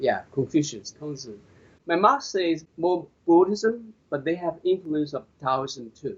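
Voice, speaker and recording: With a Chinese accent, a man speaks at a high pitch and fairly slow pace with lively intonation. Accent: Chinese (Mandarin). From China. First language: Mandarin Chinese. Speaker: qigong master. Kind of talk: interview. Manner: halting, repetitive.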